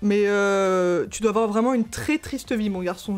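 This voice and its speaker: A woman's shrill voice carries an animated tone at a fairly slow pace. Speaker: YouTuber, gamer. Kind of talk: reading and reacting to comments. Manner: casual, animated.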